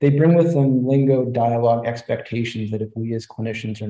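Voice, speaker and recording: A man's very fast, somewhat breathy voice with a dark, mellow tone, audible room echo and a quiet background. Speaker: presenter. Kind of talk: lecture. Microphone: webcam.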